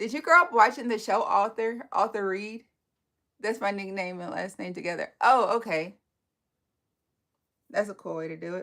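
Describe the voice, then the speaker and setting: On a very clean recording with a silent background, a woman with an American accent speaks at a moderate pace in a fairly high, bright, sharp voice, her animated tone and lively intonation marked by long, frequent pauses and big swings in loudness. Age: 40s. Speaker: live-stream beauty creator. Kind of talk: casual live-stream chat.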